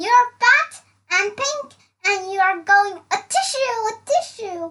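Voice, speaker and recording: A woman's put-on character voice, squeaky and extremely high, raised and projected, at a fairly slow pace. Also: lively intonation. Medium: read story.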